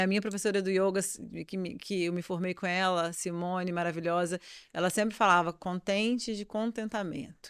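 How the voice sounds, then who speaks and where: On a very clean recording with a silent background, a woman talks at medium pitch. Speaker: yoga teacher and podcast co-host. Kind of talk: casual chat. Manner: fast.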